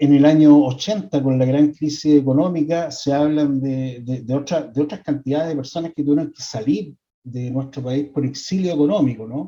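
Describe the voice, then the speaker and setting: Here a man with a fairly high voice and a dark, mellow tone speaks at a moderate pace, with ordinary pitch variation and hardly any pauses. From Chile. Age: 60s. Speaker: psychologist. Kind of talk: lecture. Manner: halting, many repetitions and fillers.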